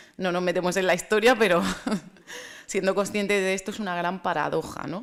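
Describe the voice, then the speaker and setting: Speaking at a fairly quick pace, a woman of medium pitch uses fairly even intonation and a strong Murcian accent. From Spain, Murcia. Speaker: speaker on racism and African storytelling. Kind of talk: conference talk. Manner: hesitant, with fillers and repetitions.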